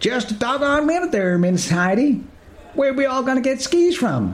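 Over light background noise, a man talks at a moderate pace with an extremely high pitch. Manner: folksy, blunt.

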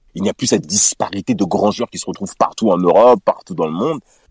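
A man speaks at a moderate pace with very wide pitch swings, the sound dry and close with no echo. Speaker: podcast contributor, football fan. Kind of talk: casual chat.

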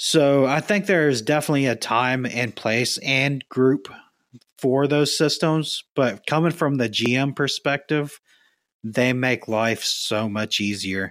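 A man with a medium pitch speaks at a fairly slow pace in a plain, everyday voice, with ordinary pitch variation. The recording is very clean, with a silent background. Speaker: caller.

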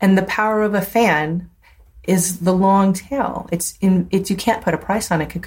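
A woman speaks in a somewhat breathy voice. Her intonation is fairly even. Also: medium pitch for a woman, moderate pace. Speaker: tech entrepreneur and former radio DJ. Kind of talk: casual interview chat. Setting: video call.

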